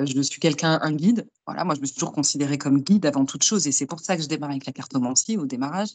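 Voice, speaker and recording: A woman's very deep, low voice at a very fast pace, with ordinary pitch variation and hardly any pauses. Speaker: medium and tarot reader. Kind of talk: interview.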